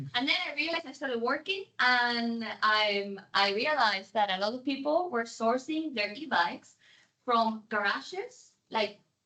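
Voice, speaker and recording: Lively intonation carries this speech, delivered with a Spanish accent. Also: woman, high pitch for a woman, moderate pace. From Spain. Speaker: delivery company worker. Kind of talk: audience question.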